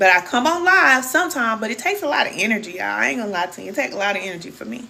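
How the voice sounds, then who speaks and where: With an American accent and lively intonation, the speaker races along at a very fast pace over noticeable background noise. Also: woman. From Kansas City, Missouri. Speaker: spiritual coach. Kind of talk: livestream chat with viewers. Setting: live stream. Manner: animated.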